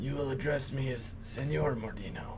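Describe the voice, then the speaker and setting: Through loud background noise, a man does a put-on character voice at a medium pitch and moderate pace. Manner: haughty, commanding.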